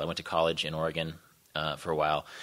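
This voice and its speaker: A man speaks in an American accent with a bright, sharp tone. The background is quiet. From Kansas, Wichita; Kansas. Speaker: travel writer; guest lecturer. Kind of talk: panel discussion. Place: hall.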